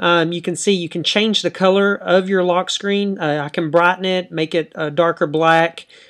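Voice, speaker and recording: This speaker talks with a Dallas accent at a moderate pace. There are hardly any pauses. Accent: country accent, Dallas Texas. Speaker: tech YouTuber. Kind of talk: tutorial. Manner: hesitant, many fillers.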